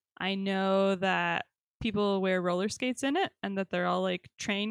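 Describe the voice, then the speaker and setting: A woman with an American accent speaks at a moderate pace and medium pitch in an ordinary speaking voice, recorded very cleanly against a silent background with a dry, close sound and no echo. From New York. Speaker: podcast host. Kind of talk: casual chat.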